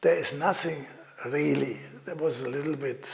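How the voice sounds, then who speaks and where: A man with a German accent, ordinary pitch variation and noticeable background noise. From Germany. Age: old. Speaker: master gem cutter interviewed for an oral history. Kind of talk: interview answer. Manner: hesitant, halting, with frequent filler words.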